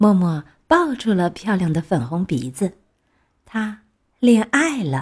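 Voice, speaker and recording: A woman speaks very slowly and somewhat breathily, her pitch swinging very widely. Long, frequent pauses break her speech on a very clean recording with a silent background. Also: medium pitch for a woman. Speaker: children's storyteller. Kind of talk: reading aloud picture book to children. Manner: expressive storytelling voice.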